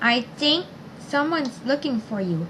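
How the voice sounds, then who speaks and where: A woman's put-on character voice, high in pitch, at a moderate pace over clear background noise. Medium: read story.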